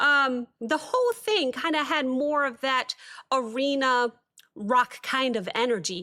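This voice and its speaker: Raised and projected, a woman's high-pitched voice carries a bright, sharp tone, ordinary pitch variation and a fairly slow pace. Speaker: music reaction youtuber. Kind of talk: casual reaction commentary. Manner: hesitant with many fillers.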